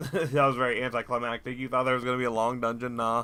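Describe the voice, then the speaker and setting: With music playing in the background, a man speaks in an American accent. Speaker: gaming streamer. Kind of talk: game commentary.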